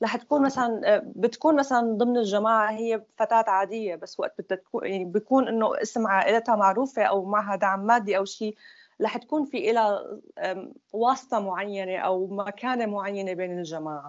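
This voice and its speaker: A woman with an unremarkable speaking voice talks at moderate speed, her pitch varying in an ordinary way. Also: fairly high pitch for a woman. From Syria (Damascus). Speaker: former group member. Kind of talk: personal testimony.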